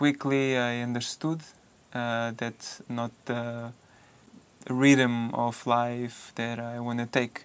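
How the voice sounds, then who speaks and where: A man with a Portuguese accent at a very slow pace, monotone and flat in intonation. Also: medium pitch for a man. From Portugal. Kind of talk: personal narration in documentary.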